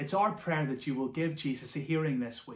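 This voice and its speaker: Somewhat breathy, a man speaks at a moderate pace with ordinary pitch variation as audible room echo surrounds his voice. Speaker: church minister. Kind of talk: devotional welcome address. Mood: warm, earnest. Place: home room. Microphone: phone near.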